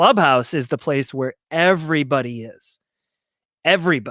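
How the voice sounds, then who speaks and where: A man with an American accent and ordinary pitch variation, in a very clean recording with a silent background and a dry, close sound with no echo. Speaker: marketing agency founder and event co-founder. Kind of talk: live stream talk. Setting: live stream video. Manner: fast.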